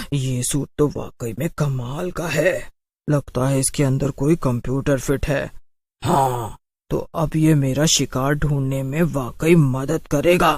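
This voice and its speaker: A man puts on a cartoonish character voice, fairly high in pitch and at a fairly slow pace. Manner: cackling and menacing.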